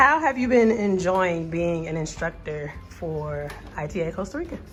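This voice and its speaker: A woman with an American accent speaks at a fairly low pitch and moderate pace, with lively intonation. Noticeable background noise and audible room echo are present. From US Midwest, Indiana. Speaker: TEFL course student. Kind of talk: vlog interview.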